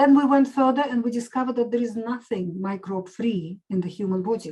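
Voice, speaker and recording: In a Russian accent, a woman talks at a fairly quick pace in a fairly high pitch. Her tone is dark and mellow, with ordinary pitch variation. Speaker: medical doctor and nutritionist. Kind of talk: interview.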